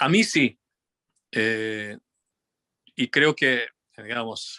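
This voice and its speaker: Very slowly, a man with a slight Tucumán accent speaks at a medium pitch in a bright, sharp tone with ordinary pitch variation, his voice dry and close with no echo against a quiet background. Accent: Tucumán Argentine Spanish, somewhat. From Argentina, Tucumán. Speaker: physicist and musician. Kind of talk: interview conversation. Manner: halting, many fillers and restarts.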